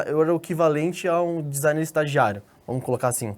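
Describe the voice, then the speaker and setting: Moderate pace and ordinary pitch variation from a man with a fairly high voice. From Brazil, Espírito Santo. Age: 20s. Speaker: graphic designer. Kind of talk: interview. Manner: casual, with frequent fillers and repetitions.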